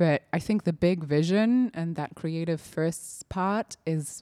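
A woman's dark, mellow tone comes through in a very clean recording with a silent background and a dry, close sound with no echo. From Germany. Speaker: creative director. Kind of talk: casual chat.

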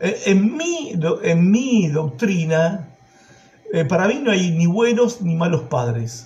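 A man speaks at a high pitch with very wide pitch swings. Noticeable background noise is present. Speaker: preacher. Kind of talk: sermon.

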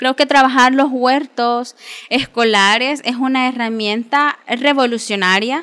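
A woman's high, bright and sharp voice with fairly even intonation at a fairly slow pace. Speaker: agroecology student. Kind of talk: radio interview. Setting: studio.

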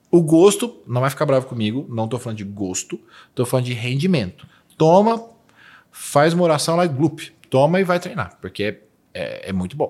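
On a very clean recording with a silent background, a man talks at a moderate pace. His pitch swings very widely. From Brazil, Minas Gerais. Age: 40s. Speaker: nutritionist. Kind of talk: interview conversation.

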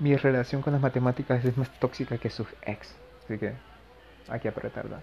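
Fairly quick speech in a monotone, flat intonation, with long, frequent pauses. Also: man, medium pitch for a man. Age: 20s. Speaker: podcaster, university physics student. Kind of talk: casual monologue. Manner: hesitant, many fillers.

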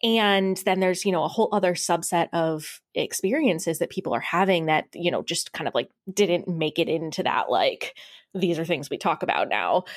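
The woman has an unremarkable speaking voice at a medium pitch with ordinary pitch variation. She talks at a moderate pace in a very clean recording with a silent background. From US Midwest. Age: 20s. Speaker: business owner. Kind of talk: casual interview.

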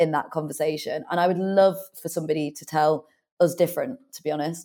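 Fairly quick speech from a woman with a British accent. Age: 30s. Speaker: author and business owner. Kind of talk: interview.

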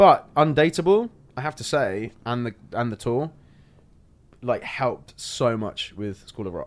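A man with a London accent speaks at a fairly slow pace in a medium pitch, his voice making very wide pitch swings. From England (London), born in Ireland. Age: 30s. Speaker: stage and TV actor. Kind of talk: casual chat. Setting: in-person studio.

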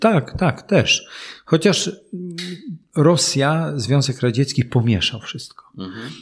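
Very slowly, with long, frequent pauses, a man speaks at a fairly high pitch in a somewhat breathy voice with lively intonation and big swings in loudness. The recording is very clean, with a silent background. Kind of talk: casual interview.

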